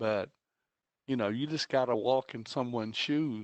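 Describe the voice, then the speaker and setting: This is a man speaking at a medium pitch. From Texas, Baytown area. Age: 60s. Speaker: school board trustee. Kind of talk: board meeting comments.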